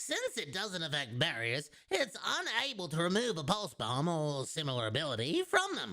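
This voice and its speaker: A man's put-on character voice, guttural and fairly high, with very wide pitch swings at a moderate pace. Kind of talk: game strategy guide narration. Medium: game stream. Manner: instructive, repeated takes.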